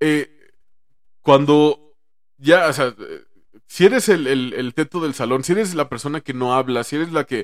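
With a Mexican accent, a man with a fairly high voice speaks at a fairly slow pace with long, frequent pauses and ordinary pitch variation, in a dry, close sound with no echo. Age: 30s. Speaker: stand-up comedian. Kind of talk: casual chat.

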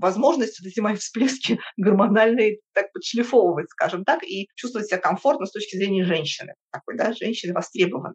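This is a normal speaking voice with lively intonation, moving at a fairly quick pace. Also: woman. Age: 50s. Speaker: podcast guest. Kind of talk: interview.

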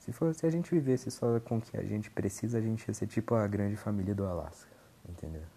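A man's medium-pitched voice at a very fast pace with lively intonation. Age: 20s. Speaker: podcaster. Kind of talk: casual monologue. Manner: halting.

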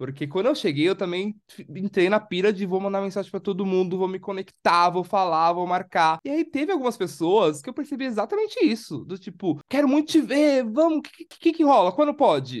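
A man speaks with a high pitch and a fairly quick pace, barely pausing at all. His pitch swings very widely and his loudness rises and falls sharply. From Brazil, São Paulo. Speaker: podcast co-host. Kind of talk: casual chat.

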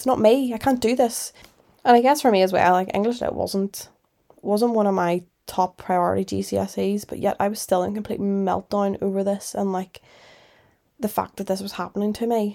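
With a Northern Irish accent, a woman speaks at a moderate pace in a dark, mellow, medium-pitched voice with fairly even intonation, in a very clean recording against a silent background. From Northern Ireland. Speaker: podcast host. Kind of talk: solo podcast monologue, casual chat. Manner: casual, chatty, reflective.

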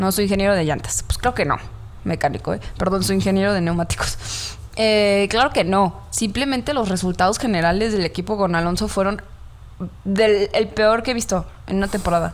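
A woman's medium-pitched voice at a moderate pace, with ordinary pitch variation and very even loudness. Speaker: podcast co-host. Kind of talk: casual chat.

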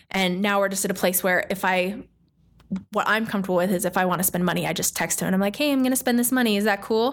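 A woman talks at a very fast pace with very even loudness and ordinary pitch variation, over noticeable background noise. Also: medium pitch for a woman. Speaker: podcast co-host. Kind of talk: casual chat.

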